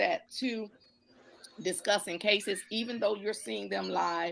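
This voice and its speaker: Loud and marked by vocal fry, a woman talks at a fairly slow pace with very wide pitch swings. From Detroit, east side. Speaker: judge. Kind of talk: live stream talk. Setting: live stream. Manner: halting.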